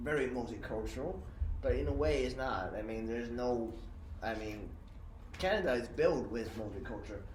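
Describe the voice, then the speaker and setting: Recorded with noticeable background noise and audible room echo, a man is speaking. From China. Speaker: podcast host. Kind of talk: casual chat. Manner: halting.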